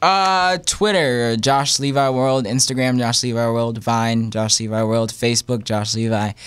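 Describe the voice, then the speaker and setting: Man with an American accent and medium pitch, fairly slow yet with hardly any pauses, ordinary pitch variation, quiet background. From Texas, Houston. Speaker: singer; guest. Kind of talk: interview. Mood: friendly, upbeat. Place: studio. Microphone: studio mic.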